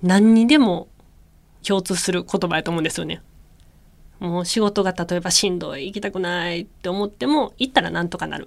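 Speaking in a Kansai accent, a woman keeps a medium pitch and a moderate pace with ordinary pitch variation. The recording is very clean, with a silent background. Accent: Kansai Japanese. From Japan, Kyoto. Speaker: radio host and former synchronized swimmer. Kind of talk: solo radio talk. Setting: radio studio. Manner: casual, chatty with laughter.

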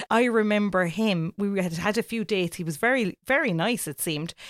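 A woman speaks with lively intonation. The recording is very clean, dry and close, with a silent background and no echo. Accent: Cork. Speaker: podcast co-host, radio presenter. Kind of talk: casual chat. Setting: home bedroom recording.

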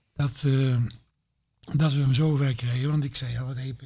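Speaking at a moderate pace, a man with a fairly high pitch sounds somewhat breathy, with monotone, flat intonation. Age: 70s. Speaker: former football club manager. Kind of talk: casual chat.

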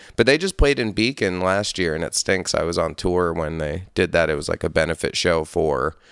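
On a very clean recording with a silent background and a dry, close sound with no echo, a man with an American accent speaks at a moderate pace in a very deep, low pitch, with lively intonation and vocal fry. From upstate New York. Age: 30s. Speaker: metal musician. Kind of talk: casual chat.

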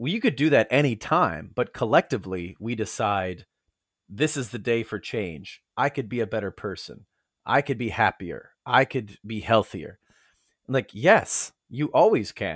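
With an American accent and a plain, everyday voice, a man speaks fairly slowly at medium pitch with lively intonation, the sound dry and close with no echo. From United States. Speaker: world traveler and apparel business founder. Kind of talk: casual interview chat.

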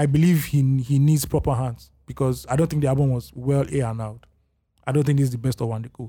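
Speaking at a very fast pace with a Nigerian accent, a man uses a dark, mellow tone that is somewhat breathy, with ordinary pitch variation. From Lagos, Nigeria. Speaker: podcast host. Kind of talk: casual chat.

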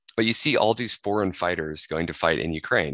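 In an American accent, a man speaks very deep and low with a bright, sharp tone and ordinary pitch variation, the sound dry and close with no echo. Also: quiet background. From US Pacific Northwest, Washington. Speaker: podcast co-host. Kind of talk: casual discussion.

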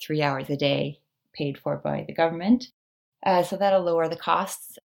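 In a Canadian accent, a woman speaks at a moderate pace with ordinary pitch variation and vocal fry on a very clean recording with a silent background. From Canada. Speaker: personal finance blogger. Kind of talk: interview.

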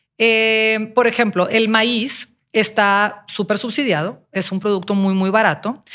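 On a very clean recording with a silent background, a woman speaks. Her fairly high voice carries a Mexican accent. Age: 40s. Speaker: nutrition podcast co-host. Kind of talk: casual health podcast explanation.

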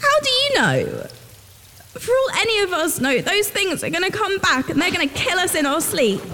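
A woman uses a put-on character voice, pitched extremely high, whiny and anxious with a tearful tone, her pitch swinging very widely. She talks at a moderate pace with very even loudness over clear background noise. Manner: anxious, tearful, whiny.

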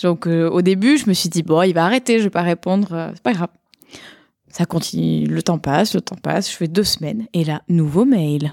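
In a slight southern French accent, a woman with a fairly low voice and ordinary pitch variation is heard in a dry, close sound with no echo. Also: moderate pace. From southern France, Montpellier. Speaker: software product manager, conference speaker. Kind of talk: casual chat.

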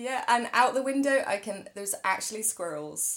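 A woman talks with a fairly high pitch and a fairly bright tone. Her intonation is lively, and her pace is moderate.

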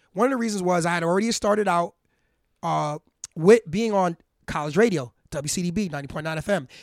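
A man with a New York accent and a high pitch talks at a very fast pace, with long, frequent pauses, in a dry, close sound with no echo. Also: ordinary pitch variation. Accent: New York City. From Harlem, New York City. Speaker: hip hop artist. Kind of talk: casual interview. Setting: home garage studio.

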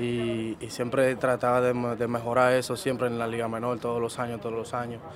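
The voice moves at a fairly quick pace over noticeable background noise. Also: man. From Dominican Republic, Jánico near Santiago. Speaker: professional baseball player. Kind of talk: interview.

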